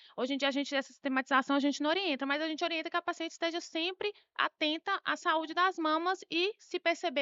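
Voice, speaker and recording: With lively intonation, the words pour out very fast. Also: woman. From Bahia, Brazil. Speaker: doctor, breast specialist. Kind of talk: health interview.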